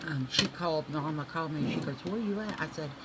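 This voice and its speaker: A woman with a Southern US accent and a very deep, low pitch, over noticeable background noise. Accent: US South. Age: 60s. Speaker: beauty vlogger. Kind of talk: casual makeup tutorial chat. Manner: animated.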